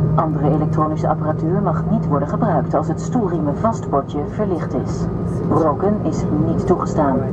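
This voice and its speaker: The woman keeps a moderate pace. There is loud noise in the background. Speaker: cabin crew announcer. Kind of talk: safety announcement. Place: plane.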